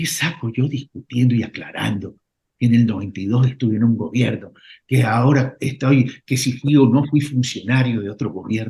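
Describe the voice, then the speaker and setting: A somewhat breathy voice at a moderate pace with ordinary pitch variation. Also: man, medium pitch for a man. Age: 60s. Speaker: political candidate. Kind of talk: radio interview.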